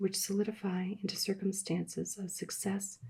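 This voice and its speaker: Soft-spoken and somewhat breathy, a woman has a dark, mellow tone at a medium pitch. She speaks fairly slowly in a monotone, flat intonation. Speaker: ASMR reader. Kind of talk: audiobook reading. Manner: soft-spoken, quiet.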